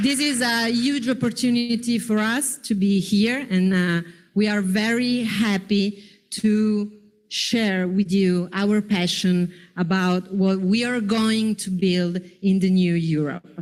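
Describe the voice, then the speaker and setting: A woman speaks in an Italian accent at a very slow pace. Her pitch varies in an ordinary way. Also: medium pitch for a woman, very clean recording, silent background. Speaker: panel moderator, politician. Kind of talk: panel moderation.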